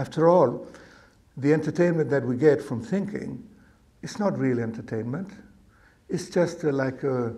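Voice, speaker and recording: At a moderate pace, a somewhat breathy man with a dark, mellow tone speaks in a fairly high pitch with lively intonation. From Argentina. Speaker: meditation teacher. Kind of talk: dharma talk to live audience.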